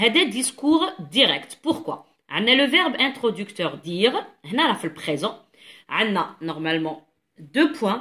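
A woman with an Algerian accent, a bright, sharp tone and very wide pitch swings at a very slow pace against a quiet background. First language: Algerian Arabic (speaking French). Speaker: French teacher. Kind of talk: tutorial. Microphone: phone near.

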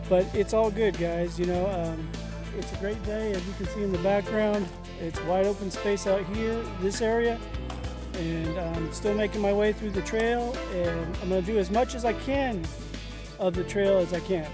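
Clear music plays behind a man speaking at a moderate pace, the sound dry with no echo. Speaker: hiker vlogger. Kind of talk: casual vlog chat. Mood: relaxed, upbeat. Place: open country. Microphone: phone near.

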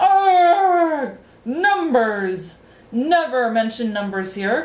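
In a put-on character voice, a woman speaks at a very slow pace with a high pitch. Her intonation is lively, and the room echo is audible.

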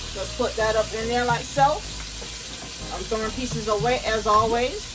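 Noticeable background noise behind a woman talking. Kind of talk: casual cooking tutorial. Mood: upbeat, playful. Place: kitchen. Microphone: camera far.

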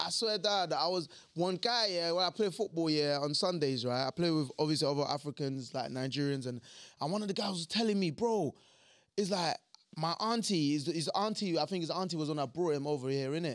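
Fairly quick speech with ordinary pitch variation against a quiet background. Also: man, fairly high pitch for a man. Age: 30s. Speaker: podcast host. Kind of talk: casual chat. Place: studio. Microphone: studio mic.

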